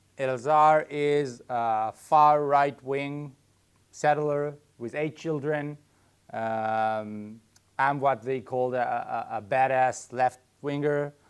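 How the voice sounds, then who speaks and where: A man with an Israeli accent at a very slow pace over a quiet background. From Israel (Haifa). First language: Hebrew. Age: 30s. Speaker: farm co-founder, army reservist. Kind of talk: public talk. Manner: halting, with fillers and restarts.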